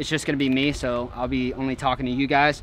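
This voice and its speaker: A man talks at a very fast pace, the sound dry with no echo and light background noise behind him. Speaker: vlogger. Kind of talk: casual vlog chat. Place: boat.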